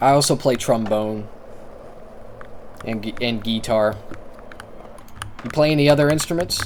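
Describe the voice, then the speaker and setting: A man's medium-pitched voice at a moderate pace, with ordinary pitch variation, long, frequent pauses and noticeable background noise. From rural America. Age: 20s. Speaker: streamer. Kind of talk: casual chat. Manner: halting.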